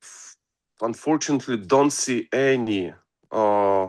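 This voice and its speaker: A very slow man with a Russian accent, ordinary pitch variation and a quiet background. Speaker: music producer and songwriter. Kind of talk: interview. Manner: hesitant, many fillers.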